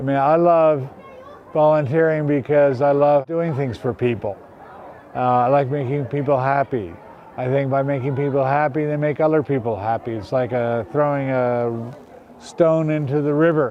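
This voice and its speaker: Over crowd noise in the background, a man with a fairly high pitch talks at a moderate pace with ordinary pitch variation. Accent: American. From United States. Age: 60s. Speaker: retired street volunteer. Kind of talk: interview.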